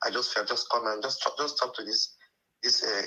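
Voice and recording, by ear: A man talks at a fairly quick pace in a bright, sharp tone with a slightly husky edge and fairly even intonation.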